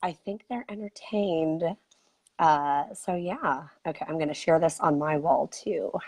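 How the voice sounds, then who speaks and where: A woman's raspy, fairly low voice at a fairly slow pace. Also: ordinary pitch variation, quiet background. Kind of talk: casual chat.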